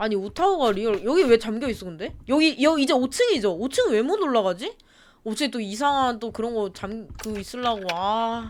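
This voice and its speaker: A woman speaks with a fairly high pitch and lively intonation. Her pace is moderate. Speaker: gaming streamer. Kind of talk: horror game let's play commentary. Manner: speeds up when scared; animated, screaming.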